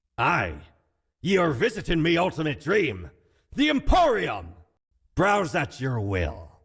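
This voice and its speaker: In a very clean recording with a silent background, a man does a put-on character voice, fairly high-pitched and fairly slow, with long, frequent pauses. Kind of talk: comic pirate talk. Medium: game stream. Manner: boastful, theatrical.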